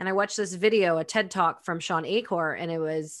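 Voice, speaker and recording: With a normal speaking voice, a woman in a Canadian accent talks at a fairly quick pace with ordinary pitch variation. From Canadian prairies, Winnipeg. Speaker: author and entrepreneur. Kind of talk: interview. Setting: video call.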